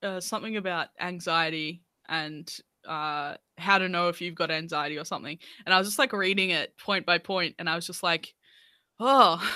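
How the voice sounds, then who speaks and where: In an Australian accent, a woman speaks at a moderate pace with a bright, sharp tone and ordinary pitch variation, on a very clean recording with a silent background that is dry and close with no echo. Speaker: music podcast host. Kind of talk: casual chat.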